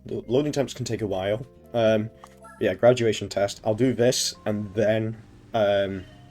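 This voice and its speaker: Music plays in the background as a man speaks. His pitch is medium, his pace moderate, and his intonation fairly even. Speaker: streamer. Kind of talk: casual talk to stream chat.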